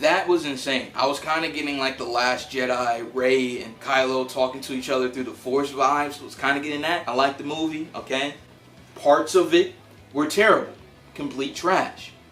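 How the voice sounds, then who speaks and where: The room echo is audible. Background noise is noticeable too. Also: man, big swings in loudness. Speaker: movie reviewer YouTuber. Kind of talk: casual movie review vlog. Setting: home recording on camera. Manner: casual, animated.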